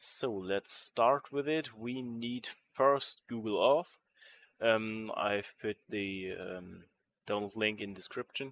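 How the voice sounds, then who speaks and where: Someone with a German accent speaks at a very slow pace with ordinary pitch variation, the sound dry and close with no echo, the recording very clean and the background silent. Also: man, medium pitch for a man. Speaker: modding tutorial creator. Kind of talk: tutorial. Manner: halting, many fillers.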